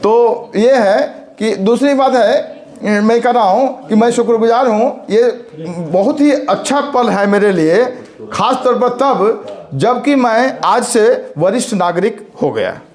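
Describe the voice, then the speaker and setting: Amid audible room echo and noticeable background noise, a man speaks at an extremely high pitch with very even loudness and ordinary pitch variation. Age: 60s. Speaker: college principal. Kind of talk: speech. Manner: halting.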